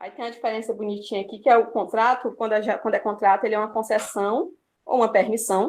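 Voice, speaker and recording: A woman speaks with a Brazilian accent at a fairly quick pace. Her pitch is fairly high. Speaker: student presenter. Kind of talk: class review presentation. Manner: hesitant, many fillers.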